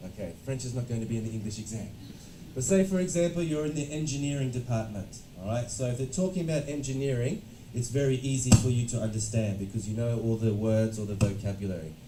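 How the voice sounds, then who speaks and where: A man with an Australian accent at a very fast pace and medium pitch, lively in intonation, with music in the background and audible room echo. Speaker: education consultant and lecturer. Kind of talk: lecture. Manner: interactive, engaging with audience.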